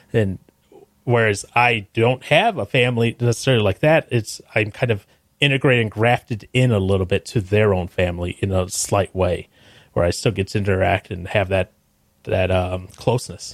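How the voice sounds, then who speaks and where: In a very clean recording with a silent background and a dry, close sound free of echo, a man with a plain, everyday voice speaks at a moderate pace, his pitch fairly low with ordinary variation. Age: 30s. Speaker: podcast guest, podcast co-host. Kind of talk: casual chat.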